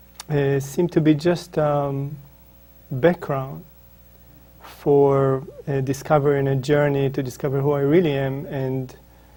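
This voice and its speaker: A man with an Israeli accent speaks at a fairly slow pace and a fairly high pitch, monotone and flat in intonation, with long, frequent pauses. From Israel, northern kibbutz. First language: Hebrew. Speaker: spiritual author. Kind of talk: interview. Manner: halting, many fillers.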